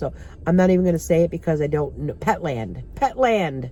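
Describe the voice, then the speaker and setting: A woman with an ordinary speaking voice speaks at a moderate pace in a fairly low pitch with ordinary pitch variation. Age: 60s. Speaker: vlogger. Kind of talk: casual chat. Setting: in a car.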